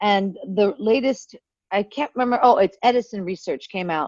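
A woman's ordinary speaking voice with an American accent, medium in pitch, at a fairly quick pace with ordinary pitch variation. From US, Pittsburgh area, Pennsylvania. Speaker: content creator. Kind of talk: casual chat.

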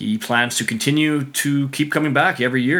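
Using a plain, everyday voice, a man speaks at a moderate pace with ordinary pitch variation. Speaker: podcast host. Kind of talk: casual interview with sponsor reads.

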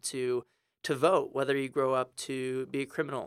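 In an American accent, a man with an ordinary speaking voice and fairly high pitch talks at a moderate pace with fairly even intonation, on a very clean recording with a silent background and a dry, close sound with no echo. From Texas, San Antonio. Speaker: education policy analyst. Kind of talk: interview. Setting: studio.

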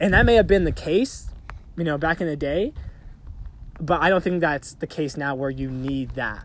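A fairly quick pace, an ordinary speaking voice, and ordinary pitch variation. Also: man. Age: 20s. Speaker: podcast co-host. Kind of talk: casual chat. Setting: outdoors on a hiking trail.

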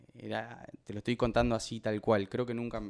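The pace is moderate. A man's voice sits at a medium pitch. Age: 30s. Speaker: professional footballer. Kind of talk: testimony. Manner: halting, many repetitions.

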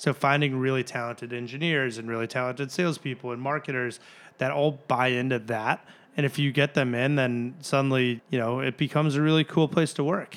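On a very clean recording with a silent background, a man talks at a very fast pace with an American accent. His pitch is medium and his intonation fairly even. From Chicago area (Glenview). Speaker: startup founder. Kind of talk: interview. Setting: office conference room.

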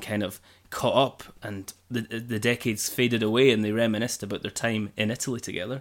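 On a very clean recording with a silent background, a man speaks at a medium pitch in an ordinary speaking voice. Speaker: podcast host and interviewer. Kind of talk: podcast hosting and interview. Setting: at guest's home.

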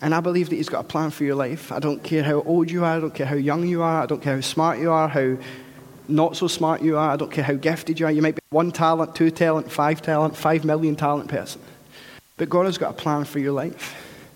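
A man with a Scottish accent talks at a very fast pace and fairly high pitch, his intonation monotone and flat, over noticeable background noise. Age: 30s. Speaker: pastor. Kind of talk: sermon.

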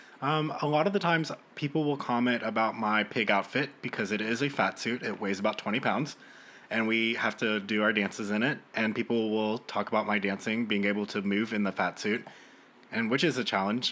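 With a normal speaking voice, a man talks at a fairly quick pace and medium pitch, keeping very even loudness and ordinary pitch variation. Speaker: theater actor. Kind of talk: casual chat.

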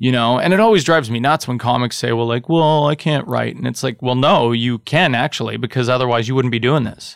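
A man speaks in a normal speaking voice with a Canadian accent, his pitch medium. He talks at a fairly quick pace, with ordinary pitch variation. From Northern Ontario, Canada (Thunder Bay). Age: 30s. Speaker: comedian and podcaster. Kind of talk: casual chat. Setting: studio with live audience.

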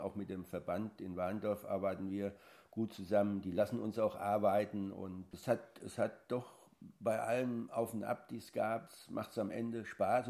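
A man speaks at a moderate pace in a fairly low pitch with a dark, mellow tone. His intonation is monotone and flat. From Lower Franconia, Bavaria (near Aschaffenburg). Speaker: national show jumping coach. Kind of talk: interview.

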